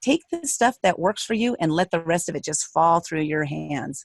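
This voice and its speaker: In an American accent, a woman with an ordinary speaking voice and fairly low pitch talks at a moderate pace, the sound dry and close with no echo. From USA. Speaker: author and speaker. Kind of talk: interview.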